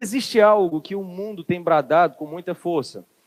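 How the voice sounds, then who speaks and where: Recorded with a dry, close sound and no echo, a man with a Ceará accent talks at a moderate pace with ordinary pitch variation. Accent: Ceará accent, 'estado' with an x sound. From Brazil, Ceará. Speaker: preacher. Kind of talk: sermon. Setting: church service streamed on camera.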